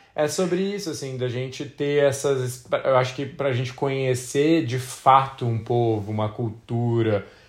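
A man, somewhat breathy, at a fairly slow pace with hardly any pauses, on a very clean recording with a silent background. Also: medium pitch for a man, ordinary pitch variation. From Brazil. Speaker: travel podcast co-host. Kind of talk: casual chat.

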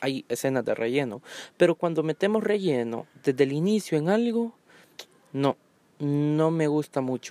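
A man with a dark, mellow tone speaks at a fairly high pitch and a moderate pace, with ordinary pitch variation. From Honduras. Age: 20s. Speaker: podcaster. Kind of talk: solo monologue podcast. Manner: hesitant, many fillers.

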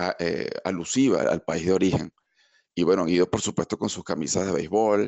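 A man with a Caracas accent speaks in a very deep, low voice. His pace is moderate. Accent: Venezuelan (Caracas) Spanish. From Venezuela, Caracas. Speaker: engineer and immigrant. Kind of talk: interview. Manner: halting, with many repeated words.

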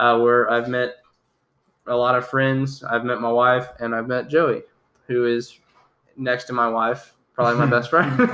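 With an American accent, a man at medium pitch speaks at a moderate pace in a bright, sharp tone and a monotone, flat intonation. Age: 20s. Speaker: podcast host, Bible college student. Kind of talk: casual chat.

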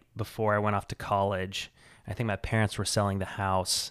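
A man with an American accent has an ordinary speaking voice, fairly low in pitch with fairly even intonation. The recording is very clean, with a silent background. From central Illinois, US Midwest. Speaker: filmmaker and bike party organizer. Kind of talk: casual chat.

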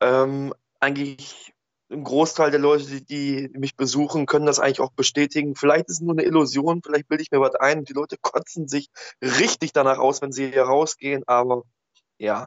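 A man with a fairly high pitch talks at a moderate pace. His intonation is monotone and flat. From Ruhr area, Germany (Oberhausen). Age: 30s. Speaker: social worker and antifascist blogger. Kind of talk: casual chat. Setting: Skype call.

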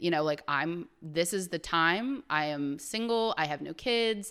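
A woman with a Midwestern American accent speaks in a fairly low pitch with ordinary pitch variation. The recording is very clean and the background silent. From Ohio, US Midwest. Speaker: travel enthusiast. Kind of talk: casual chat. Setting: podcast recording with camera.

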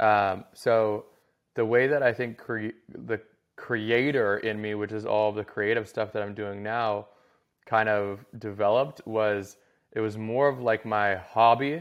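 A man with a plain, everyday voice, an American accent, fairly low pitch and fairly even intonation. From US Southwest (Scottsdale, Arizona). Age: 30s. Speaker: former pro hockey player, content agency founder. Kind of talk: casual interview chat.

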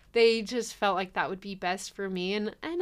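A woman speaks in an unremarkable speaking voice at a medium pitch and a moderate pace with fairly even intonation. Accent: American. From California, Riverside County. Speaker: university graduate. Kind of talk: interview.

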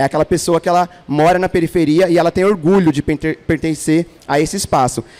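A man with an unremarkable speaking voice and a fairly high pitch is heard in a dry, close sound with no echo. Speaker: podcast host. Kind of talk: casual chat. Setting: stage with audience.

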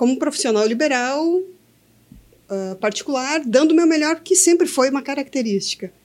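Very wide pitch swings from a woman talking at a moderate pace. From Brazil, Santa Cruz do Sul, Rio Grande do Sul. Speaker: entrepreneur, co-founder. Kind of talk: casual chat. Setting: studio.

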